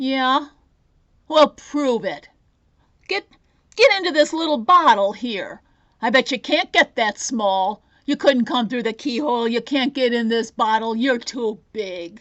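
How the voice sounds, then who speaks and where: In a put-on character voice, a woman projects loudly at a high pitch, speaking at a fairly slow pace with long, frequent pauses. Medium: read story. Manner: casual, folksy.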